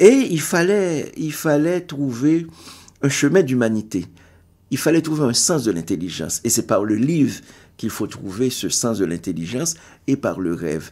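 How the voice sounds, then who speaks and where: Very clean recording with a silent background: a man at medium pitch, fairly slow pace and very wide pitch swings. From Haiti. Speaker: writer and poet. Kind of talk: interview. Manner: halting.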